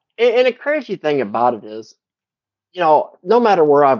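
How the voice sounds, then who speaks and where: With lively intonation, the words come at a moderate pace. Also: man, dry, close sound with no echo. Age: 40s. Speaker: factory worker. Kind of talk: interview. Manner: halting.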